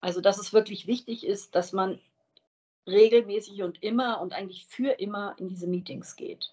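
A woman's normal speaking voice at medium pitch and moderate pace, with fairly even intonation and big swings in loudness. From Wiesbaden, Hesse, Germany. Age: 50s. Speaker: recovering alcoholic sharing her story. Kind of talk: interview.

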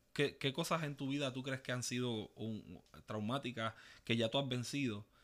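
Over a very clean recording with a silent background, a man with a Puerto Rican accent speaks in fairly even intonation. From Puerto Rico, east (Ceiba). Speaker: podcast co-host. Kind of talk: casual chat.

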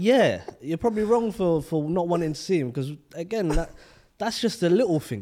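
A high-pitched man with a London accent, fairly quick pace and lively intonation. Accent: London multicultural English. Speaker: podcast co-host. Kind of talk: casual chat.

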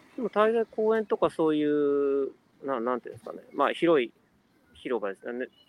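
With very wide pitch swings, a man speaks at a moderate pace and a fairly high pitch. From Japan, Kanagawa. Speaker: business consultant. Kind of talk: casual interview chat. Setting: online live stream.

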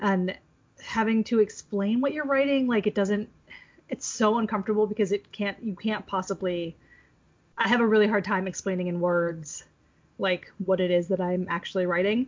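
With a plain, everyday voice, a woman of medium pitch talks at a moderate pace with ordinary pitch variation. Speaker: podcast host. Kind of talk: casual chat.

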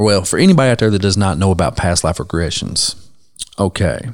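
An unremarkable speaking voice with lively intonation comes through in a very clean recording with a silent background. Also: man. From Ohio. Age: 30s. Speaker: podcast host, tattoo artist. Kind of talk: casual chat.

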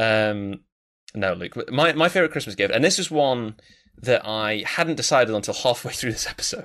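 Lively in intonation, a man talks in a normal speaking voice in a very clean recording with a silent background. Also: medium pitch for a man, moderate pace. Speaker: podcast co-host. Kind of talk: casual chat.

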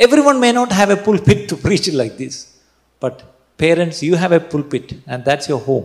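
The man's high voice rises and falls in very wide pitch swings. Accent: Keralan. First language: Malayalam. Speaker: pastor. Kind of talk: sermon. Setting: church.

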